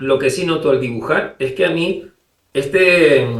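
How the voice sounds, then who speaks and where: Somewhat breathy, a man speaks at a fairly slow pace with a Canary Islands accent and ordinary pitch variation. Audible room echo surrounds his voice. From Canary Islands, Spain. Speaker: illustrator. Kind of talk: interview. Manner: halting, many repetitions.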